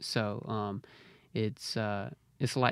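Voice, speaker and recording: This man speaks with a Mississippi accent. His intonation stays fairly even. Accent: US Southern (Mississippi). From Mississippi (Braxton, rural central Mississippi). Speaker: hip hop artist. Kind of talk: interview. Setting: studio.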